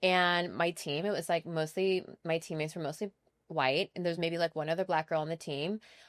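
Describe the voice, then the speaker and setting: A normal speaking voice with an American accent at a fairly quick pace and fairly even intonation, in a dry, close sound with no echo on a very clean recording with a silent background. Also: woman, fairly low pitch for a woman. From US Pacific Northwest (Washington State). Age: 40s. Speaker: personal stylist. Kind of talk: casual chat.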